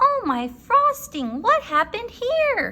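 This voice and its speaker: A woman's put-on character voice, squeaky and extremely high, at a fairly slow pace. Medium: read story. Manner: cheerful, gentle.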